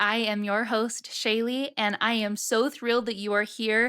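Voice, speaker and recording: A woman with a fairly high pitch speaks at a moderate pace on a very clean recording with a silent background. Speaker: podcast host and marketing business founder. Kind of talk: solo podcast monologue. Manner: animated.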